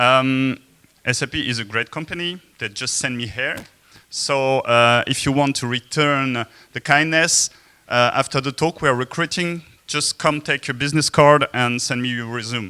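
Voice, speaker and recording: A man's medium-pitched voice with a slight French accent, bright and sharp in tone, at a moderate pace with fairly even intonation, dry and close with no echo, on a very clean recording with a silent background. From France. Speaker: software developer and conference speaker. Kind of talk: conference talk. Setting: stage with audience. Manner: hesitant, many filler sounds. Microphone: speaking without the mic.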